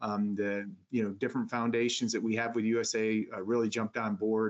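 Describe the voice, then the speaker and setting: A man with an American accent has a normal speaking voice at a medium pitch. He talks at a moderate pace with fairly even intonation. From upstate New York. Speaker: retired Marine sergeant major, veterans program director. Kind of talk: interview.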